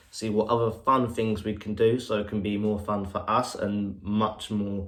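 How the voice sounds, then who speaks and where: Audible room echo surrounds a man speaking at a moderate pace. His pitch is fairly low and his intonation monotone and flat. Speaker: podcast co-host. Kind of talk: casual update to fans.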